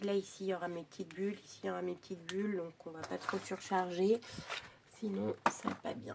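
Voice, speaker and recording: Her loudness swings widely as a woman talks at a moderate pace over noticeable background noise. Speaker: crafting youtuber. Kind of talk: tutorial. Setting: at home. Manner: casual chatty.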